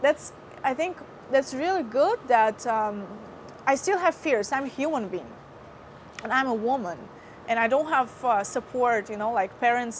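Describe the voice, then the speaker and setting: A high-pitched woman's voice in a Russian accent, with lively intonation and long, frequent pauses. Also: moderate pace. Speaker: former TV host. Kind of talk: interview testimony. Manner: hesitant, many fillers.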